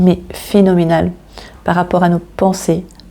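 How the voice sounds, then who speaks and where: A woman with a fairly low pitch keeps a moderate pace, her intonation monotone and flat. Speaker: tarot card reader. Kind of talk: tarot reading.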